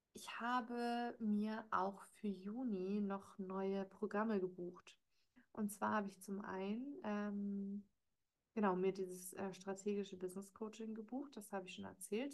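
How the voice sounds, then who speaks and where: A woman speaks at a fairly slow pace. Her medium pitch carries fairly even intonation. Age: 30s. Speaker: podcast host and life coach. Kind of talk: solo monologue, casual recap. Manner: hesitant, frequent filler words.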